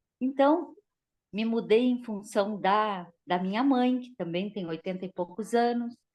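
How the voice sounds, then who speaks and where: Speaking at a fairly slow pace, a woman has an ordinary speaking voice. Her pitch is fairly high, with ordinary pitch variation. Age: 60s. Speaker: dentist, course participant. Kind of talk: casual chat.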